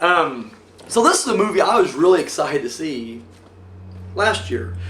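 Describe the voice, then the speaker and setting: Noticeable background noise sits behind a man's voice. He speaks at a fairly slow pace with lively intonation. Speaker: film reviewer. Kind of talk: casual review monologue. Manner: hesitant, many fillers.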